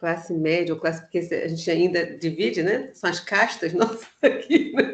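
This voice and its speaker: The speaker is a woman. Her intonation is lively. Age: 60s. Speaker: music educator. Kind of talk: online panel conversation; guided meditation.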